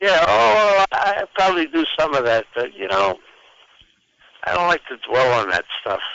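Pitched fairly high, a man's voice swings very widely in pitch as he talks at a fairly slow pace. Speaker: caller. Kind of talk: casual chat. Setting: phone call.

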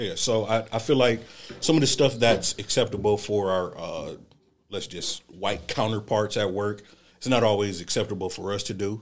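In a normal speaking voice, a man speaks at a moderate pace with a fairly low pitch and fairly even intonation. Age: 20s. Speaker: podcast co-host, restaurant worker. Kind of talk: casual chat.

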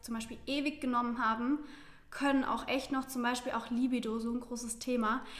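High female voice in a flat monotone, with audible room echo. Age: 20s. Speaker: social media influencer. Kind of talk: casual chat.

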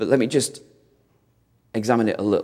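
A man with a northern English accent talks in a medium-pitched voice. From northern England, industrial town. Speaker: visiting preacher. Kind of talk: sermon.

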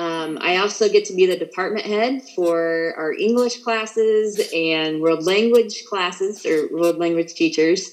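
A woman with a Midwestern American accent speaks at a fairly slow pace with medium pitch, ordinary pitch variation, and hardly any pauses over noticeable background noise. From central Indiana. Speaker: Spanish teacher. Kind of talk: casual interview. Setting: live radio show.

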